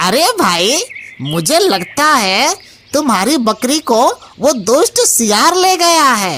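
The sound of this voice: In a cartoonish character voice, the speaker drawls at a very slow pace with a high pitch and very wide pitch swings.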